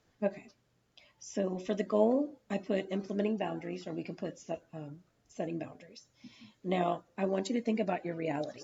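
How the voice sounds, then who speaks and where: This woman's voice sits at a medium pitch and is somewhat breathy. Her pitch moves with ordinary variation. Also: fairly quick pace. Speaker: counselling student in practice session. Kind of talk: mock counselling session.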